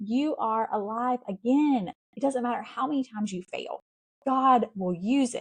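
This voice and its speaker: Somewhat breathy, a woman speaks in a Southern US accent with ordinary pitch variation. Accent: Southern US, noticeable. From US South, South Carolina. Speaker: podcast host. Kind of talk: motivational faith podcast monologue. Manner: casual, conversational.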